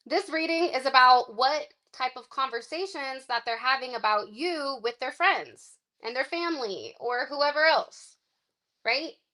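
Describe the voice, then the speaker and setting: A woman projects her voice at a high pitch, with a bright, sharp tone and lively intonation. Her pace is fairly slow. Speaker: tarot card reader. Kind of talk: live-stream reading. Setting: live stream. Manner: animated; loud.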